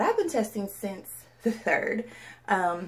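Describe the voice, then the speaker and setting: Here a woman speaks at a medium pitch. Background noise is noticeable. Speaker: vlogger. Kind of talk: casual vlog talk. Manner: fast.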